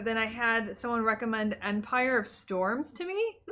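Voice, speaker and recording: A woman with a fairly high pitch is heard through noticeable background noise. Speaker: streamer, podcast co-host. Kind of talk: casual podcast conversation.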